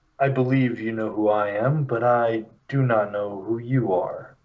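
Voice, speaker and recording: A put-on character voice from a man, medium in pitch, with fairly even intonation. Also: moderate pace. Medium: actual play. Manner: measured, formal.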